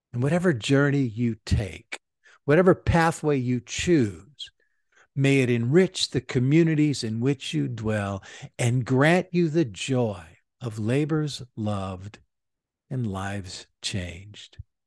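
The man's warm voice sits at a medium pitch with lively intonation. He speaks at a very slow pace. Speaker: church leader podcast host. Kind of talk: commencement speech read as a scripted address to graduates. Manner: formal, earnest, rhetorical, with rising and repeated 'commence' exhortations; measured, warm, inspirational.

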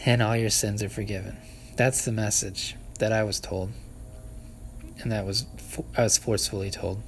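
With vocal fry and a flat, monotone delivery, a man speaks with long, frequent pauses. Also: fairly low pitch for a man, moderate pace. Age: 30s. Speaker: podcaster. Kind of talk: solo outdoor ramble. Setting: outdoors at a park picnic shelter. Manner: halting, many fillers and laughs.

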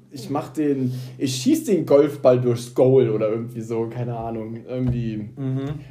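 A man of medium pitch at a fairly slow pace, with audible room echo. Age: 20s. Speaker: podcast co-host, nurse. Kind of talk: casual chat.

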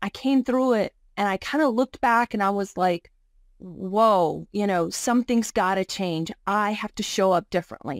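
In a Virginia accent, a woman with a medium pitch and ordinary pitch variation speaks at a moderate pace, recorded very cleanly against a silent background with a dry, close sound and no echo. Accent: Southern US (Virginia). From Virginia, US. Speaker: divorce coach. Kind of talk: casual interview chat.

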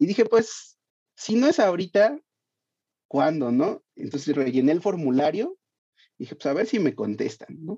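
A man speaks at a moderate pace with long, frequent pauses and a high pitch. His tone is dark and mellow, the sound dry and close with no echo, and his pitch swings very widely. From Mexico City (Iztapalapa). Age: 30s. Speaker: podcast creator. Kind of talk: interview.

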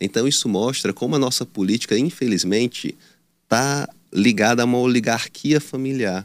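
A man with a normal speaking voice talks at medium pitch and a moderate pace, with ordinary pitch variation. The recording is very clean, the background silent. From Teresina, Piauí, northeastern Brazil. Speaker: political candidate. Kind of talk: news interview.

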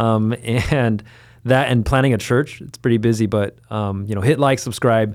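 In a very clean recording with a silent background, a man with an American accent and medium pitch talks at a moderate pace, his intonation fairly even but his loudness swinging widely. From US West Coast (Los Angeles, Rowland Heights). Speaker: podcast co-host and church leader. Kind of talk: casual chat.

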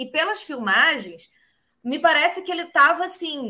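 A woman speaks at a moderate pace in a raised, projected voice, high-pitched, bright and sharp, with an animated tone and lively intonation. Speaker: livestream host. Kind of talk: casual interview. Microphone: phone instead of computer.

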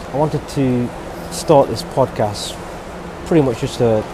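A man speaks with a British accent and ordinary pitch variation. There is noticeable background noise. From UK. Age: 30s. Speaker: podcast host. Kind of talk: solo monologue. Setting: airport.

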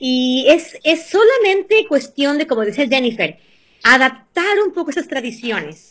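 At a fairly slow pace, a woman speaks in a high pitch with a bright, sharp tone. Her pitch swings very widely. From Ecuador, Venezuela and the US. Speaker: cooking and nutrition guest. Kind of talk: casual interview chat with cooking tips.

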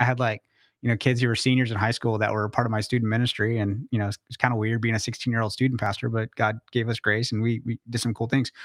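Delivered at a very fast pace, the speech sounds dry and close with no echo, on a very clean recording with a silent background. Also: man. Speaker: pastor and personal finance advisor. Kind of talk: casual interview chat. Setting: studio with cameras. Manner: fast talker.

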